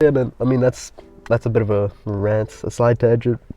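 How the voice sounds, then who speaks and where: With music in the background, a man in an American accent speaks at a moderate pace. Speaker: youtuber giving advice. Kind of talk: casual rant monologue. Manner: casual, filler-heavy; animated.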